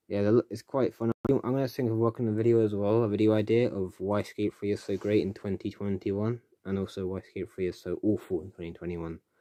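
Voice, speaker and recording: Very fast and fairly even, a man's fairly low voice carries a dark, mellow tone in a dry, close sound with no echo. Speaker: YouTuber live streaming. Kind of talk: casual live stream chat. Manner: rambling, halting with fillers.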